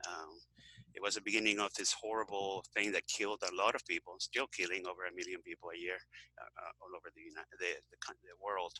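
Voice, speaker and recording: Very fast speech in a Venezuelan accent, dry and close with no echo. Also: man. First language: Spanish. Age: 60s. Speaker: health author and activist. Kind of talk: interview. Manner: halting, many fillers.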